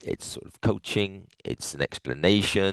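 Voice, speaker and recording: The sound is dry and close with no echo as a man speaks at a moderate pace over a quiet background. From England. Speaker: futures trading coach. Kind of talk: webinar presentation.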